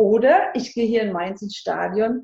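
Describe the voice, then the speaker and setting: At a moderate pace, a woman speaks with a fairly high pitch and a dark, mellow tone. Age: 60s. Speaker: life transition coach. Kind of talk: interview.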